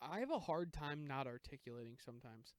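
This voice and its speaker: The speech is mumbled and goes at a very fast pace. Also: man. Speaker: comedy podcast co-host. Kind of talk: casual chat. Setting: outdoors on a deck. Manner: mumbling.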